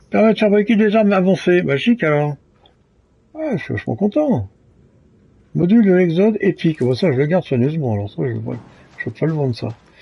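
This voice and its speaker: This man's voice sits high in pitch, with a dark, mellow tone and very wide pitch swings. He talks at a fairly quick pace but leaves long, frequent pauses. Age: 70s. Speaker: gaming streamer. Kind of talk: live gameplay commentary. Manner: halting, many hesitations.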